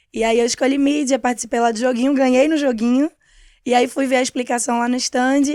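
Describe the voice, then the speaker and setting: A woman talks at a very fast pace in a high pitch. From Pernambuco, Brazil (Cabo de Santo Agostinho, Recife area). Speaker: media coordinator at an ad agency. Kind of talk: podcast interview.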